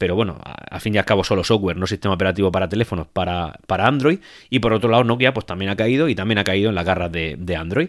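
A man speaks at a very fast pace with a fairly low pitch and ordinary pitch variation. The recording is very clean, with a silent background. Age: 30s. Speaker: tech podcaster. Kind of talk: solo podcast monologue. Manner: hesitant, many repetitions and fillers.

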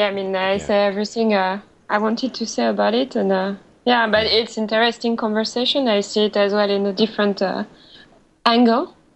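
A woman with a French accent speaks fairly quickly at a fairly high pitch, with fairly even intonation and very even loudness. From France. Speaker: office worker living in Japan. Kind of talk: casual panel discussion. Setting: online call.

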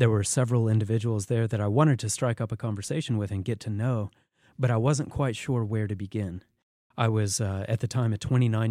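A man speaks fairly quickly with a dark, mellow tone, medium pitch and fairly even intonation. The recording is very clean, with a silent background. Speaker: radio host. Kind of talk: interview. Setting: studio.

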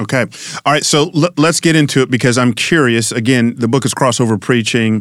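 Against a silent background in a very clean recording, a man with a normal speaking voice talks at medium pitch and a fairly quick pace with ordinary pitch variation. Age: 50s. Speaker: pastor and podcast host. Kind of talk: casual interview.

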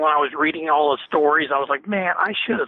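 Here a man has an unremarkable speaking voice. His pitch varies in an ordinary way, and he moves at a fairly quick pace. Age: 50s. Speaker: author. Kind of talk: interview.

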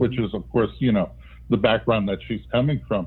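A man with a normal speaking voice talks at medium pitch with ordinary pitch variation. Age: 60s. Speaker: retired academic and author. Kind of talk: interview.

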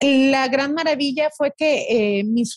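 A woman talks with a high pitch and ordinary pitch variation. The sound is dry and close, with no echo. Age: 30s. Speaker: social media wellness creator. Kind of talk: interview.

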